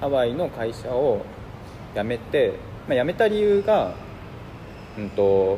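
Pausing long and frequently, a man speaks fairly slowly in a fairly high voice that swings very widely in pitch. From Hiroshima, Japan. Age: 30s. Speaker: designer. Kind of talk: casual chat.

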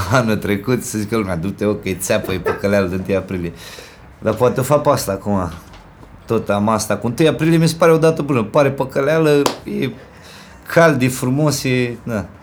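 An animated man at a moderate pace, lively intonation and noticeable background noise behind him. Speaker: rapper. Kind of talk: casual interview. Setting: in a home.

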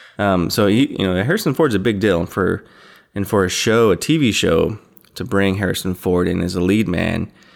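A man's fairly low voice at a moderate pace with ordinary pitch variation, an unremarkable speaking voice. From Idaho, US West. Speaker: podcast host. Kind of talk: casual chat.

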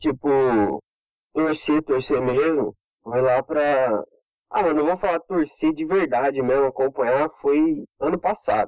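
A man's energetic, fairly high voice at a fairly slow pace, with ordinary pitch variation and a dry, close sound with no echo. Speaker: social media meme page creator. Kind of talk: casual chat. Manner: slangy, energetic.

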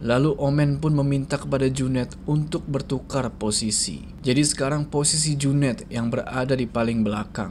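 A man with a fairly high pitch speaks at a moderate pace with hardly any pauses and ordinary pitch variation. Noticeable background noise runs behind him. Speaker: horror story host. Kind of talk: horror story narration, read aloud to a channel audience. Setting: video channel recording. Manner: casual, Jakarta-style informal.

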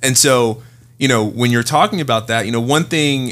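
With an American accent and a plain, everyday voice, a man talks at medium pitch and a fairly quick pace with fairly even intonation. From Oakland, California. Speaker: fintech founder and venture investor. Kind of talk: casual interview.

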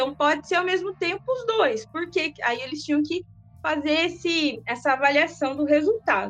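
A woman's high-pitched voice at a moderate pace, lively in intonation, with music playing in the background. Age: 30s. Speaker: sociology teacher. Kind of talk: casual interview.

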